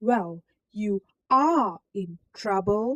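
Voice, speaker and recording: A female-sounding voice at a medium pitch growls in a put-on character voice. Its tone is menacing. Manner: growling, menacing.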